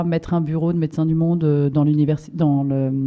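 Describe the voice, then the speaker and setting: A woman's fairly low voice has a dark, mellow tone. She keeps a moderate pace and fairly even intonation. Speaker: NGO project coordinator. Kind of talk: conference presentation. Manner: hesitant, many fillers.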